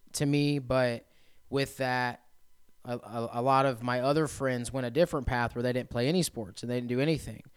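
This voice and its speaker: Delivered at a moderate pace in a Midwestern American accent. The intonation stays flat and monotone throughout. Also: man. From central Indiana. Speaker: recovery residence operator, person in recovery. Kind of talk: testimony.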